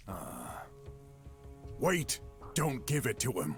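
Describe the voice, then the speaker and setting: Over clear music in the background, a man puts on a raspy character voice at a medium pitch. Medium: game stream.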